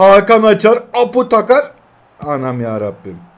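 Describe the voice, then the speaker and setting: A man at a fairly slow pace. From Turkey. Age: 20s. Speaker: mobile gaming YouTuber; mobile game streamer. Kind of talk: gameplay live commentary. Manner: animated. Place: home room.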